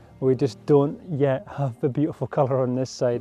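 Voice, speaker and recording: Faint music sits in the background as the speaker keeps a fairly even intonation at a moderate pace, the sound dry with no echo. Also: man. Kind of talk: casual vlog chat. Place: open country. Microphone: phone near.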